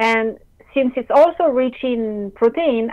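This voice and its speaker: A woman with a French accent at a very slow pace, fairly high in pitch with ordinary variation. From France. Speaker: caller. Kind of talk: Q&A call-in question.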